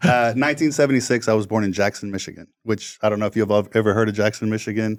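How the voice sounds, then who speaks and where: With an American accent, a man talks very fast at a fairly low pitch and with ordinary pitch variation. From Texas, southwest Houston. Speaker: realtor and former rapper. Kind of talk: podcast interview. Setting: studio.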